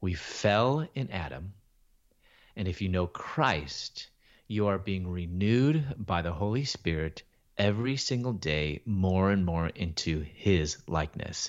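Speaking at a fairly slow pace in a Midwestern American accent, the voice has lively intonation. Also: man. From Chicago, US Midwest. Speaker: Bible teacher and author. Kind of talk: testimony.

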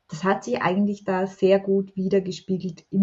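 At a fairly slow pace, a woman speaks somewhat breathily at medium pitch. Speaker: self-love coach and author. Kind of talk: podcast interview.

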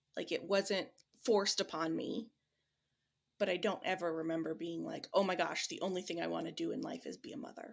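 The voice moves at a fairly quick pace with a Midwestern American accent. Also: woman. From US Midwest. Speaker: bereaved mother, grief support founder. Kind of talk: interview.

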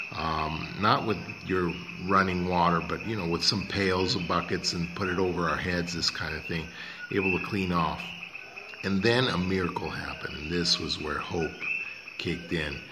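A man's very deep, low pitch at a moderate pace, with fairly even intonation and noticeable background noise. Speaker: radio host. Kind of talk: talk radio show with sponsor reads and intro.

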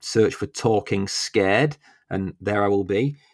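Recorded very cleanly against a silent background, a man with a British accent speaks at a fairly low pitch, the sound dry and close with no echo. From UK. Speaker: podcast host. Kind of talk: casual chat.

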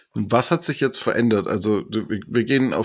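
Over a very clean recording with a silent background, a man at a medium pitch speaks at a moderate pace with fairly even intonation. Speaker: podcast host. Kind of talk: interview.

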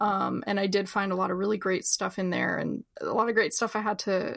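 A woman speaks at a fairly quick pace in a plain, everyday voice, her pitch medium. The recording is very clean, with a silent background. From New Jersey. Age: 30s. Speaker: book editor and writer. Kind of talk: interview.

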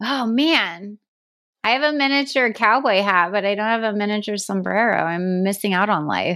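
In a very clean recording with a silent background, a woman with an American accent speaks loudly at a medium pitch and moderate pace, her tone bright and sharp and her intonation lively. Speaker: podcast co-host. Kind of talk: casual chat. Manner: laughs a lot, loud laugh.

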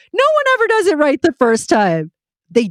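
Very wide pitch swings at a moderate pace, with a dry, close sound and no echo. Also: woman. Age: 50s. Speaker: children's radio show producer. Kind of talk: interview conversation.

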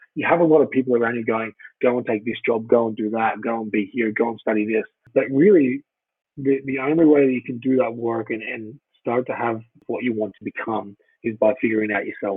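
Speaking at a fairly quick pace, a man with an Australian accent keeps a medium pitch and fairly even intonation. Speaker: former professional rugby player. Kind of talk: podcast interview. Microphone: poor sound quality.

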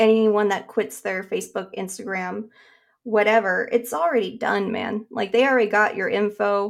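At a moderate pace, a woman with an American accent has an unremarkable speaking voice, a fairly high pitch and fairly even intonation. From Nevada, US. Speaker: comic artist. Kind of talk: casual chat.

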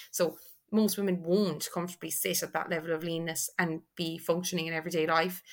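A woman with an Irish accent speaks at a fairly quick pace and fairly low pitch in a monotone, flat intonation, on a very clean recording with a silent background. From Ireland, Tipperary. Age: 20s. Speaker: online fitness and nutrition coach. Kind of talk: casual podcast interview.

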